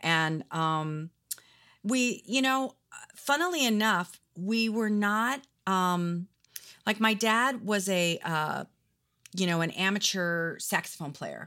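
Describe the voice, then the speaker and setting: Speaking very slowly with an American accent, a woman at medium pitch uses lively intonation and long, frequent pauses. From Arizona and Oregon, US. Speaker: jazz vocalist and songwriter. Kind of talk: casual interview chat. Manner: halting, many fillers.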